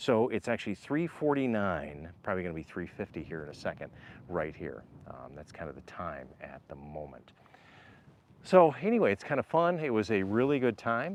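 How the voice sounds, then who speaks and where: Loud and at a moderate pace, a man speaks at a fairly low pitch with very wide pitch swings. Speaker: RV vlogger. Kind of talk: live stream vlog.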